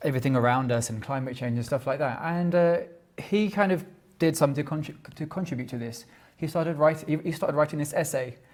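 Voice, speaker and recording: A man talks at a very fast pace with a London accent, his voice fairly high and somewhat breathy. His pitch varies in an ordinary way. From London, England. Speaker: tech generalist, small company owner. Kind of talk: conference talk. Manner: halting.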